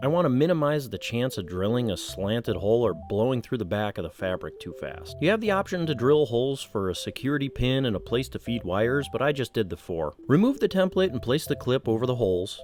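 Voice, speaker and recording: Very fast talk with hardly any pauses, very wide pitch swings and noticeable background noise. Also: man, medium pitch for a man. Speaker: motorcycle vlogger. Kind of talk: tutorial.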